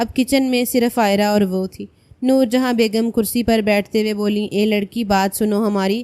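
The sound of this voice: An unforced reading voice holds to a fairly even intonation.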